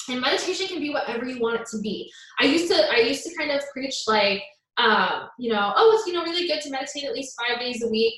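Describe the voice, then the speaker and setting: A woman speaks at a very fast pace in an animated tone, her high pitch making very wide swings. Audible room echo surrounds her voice. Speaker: self-love coach. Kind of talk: live stream talk.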